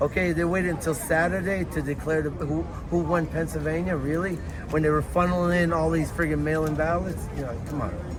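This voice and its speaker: A man with a New York accent at a fairly quick pace, amid audible room echo and noticeable background noise. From New York City, Lower East Side Manhattan. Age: 60s. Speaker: Trump supporter at a rally. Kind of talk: street interview.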